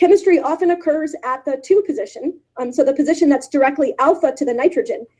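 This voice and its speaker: A woman's high, dark, mellow voice at a very fast pace, with lively intonation. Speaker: chemistry professor. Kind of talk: scientific lecture. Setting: virtual symposium, remote talk. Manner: many fillers.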